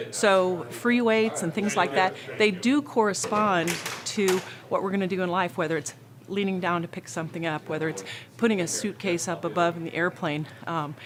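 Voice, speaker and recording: Against noticeable background noise, a woman speaks at a moderate pace with a medium pitch and ordinary pitch variation. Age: 50s. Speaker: gym member, former triathlete. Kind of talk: interview testimony.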